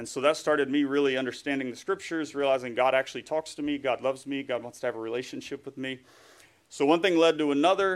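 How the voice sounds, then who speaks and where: Speaking very fast, a man with an American accent has a fairly high pitch. His intonation stays fairly even. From US South, East Tennessee. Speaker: guest preacher, writer. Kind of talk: sermon.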